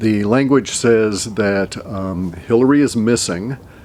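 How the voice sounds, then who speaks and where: A man with an American accent and a fairly low voice speaks with ordinary pitch variation over noticeable background noise. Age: 60s. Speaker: forecaster. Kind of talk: solo video monologue. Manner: halting, many fillers.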